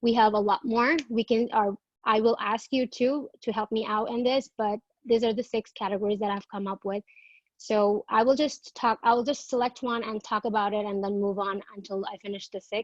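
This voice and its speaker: In a Bengali accent, a woman speaks with a fairly high pitch. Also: fairly even intonation, moderate pace. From Bangladesh. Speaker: graduate student presenter. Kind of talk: academic presentation. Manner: halting.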